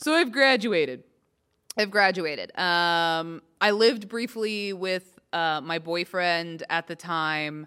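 On a very clean recording with a silent background, a woman with an American accent speaks very slowly in a bright, sharp tone at a fairly low pitch. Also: ordinary pitch variation. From Texas. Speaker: comedian. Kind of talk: casual chat. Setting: podcast.

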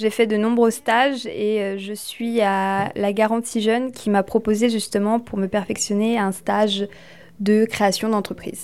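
Over a very clean recording with a silent background, a woman speaks at a fairly slow pace. Her voice is fairly high, with monotone, flat intonation. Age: 20s. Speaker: aspiring home hairdresser. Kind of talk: interview testimony.

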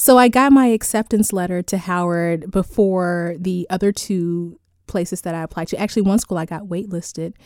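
On a very clean recording with a silent background, a woman with an unremarkable speaking voice shows big swings in loudness. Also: medium pitch for a woman, ordinary pitch variation, moderate pace. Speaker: beauty pageant titleholder. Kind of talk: radio interview.

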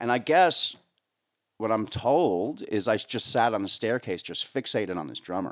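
A man speaks with a New Jersey accent and lively intonation. His pace is moderate. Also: medium pitch for a man. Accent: New Jersey American. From US, northern New Jersey. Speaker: sound engineer and drummer. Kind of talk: casual interview chat. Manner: talkative.

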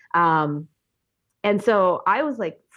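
A woman is speaking. She has an Upper Midwest accent. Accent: Upper Midwest American. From rural Minnesota. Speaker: biology teacher. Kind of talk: casual interview.

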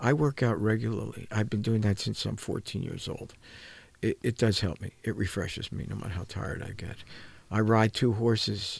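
A man with vocal fry, fairly low pitch, and fairly even intonation at a moderate pace. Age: 70s. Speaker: coach and mentor, former psychotherapist. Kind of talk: radio talk show interview. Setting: radio studio.

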